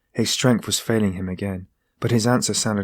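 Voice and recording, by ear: Natural-voiced reading aloud with a quiet backdrop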